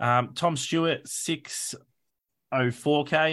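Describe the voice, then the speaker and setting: Against a quiet background, a man with an Australian accent speaks in a bright, sharp tone with ordinary pitch variation. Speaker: fantasy football podcast host. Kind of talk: casual chat. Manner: animated.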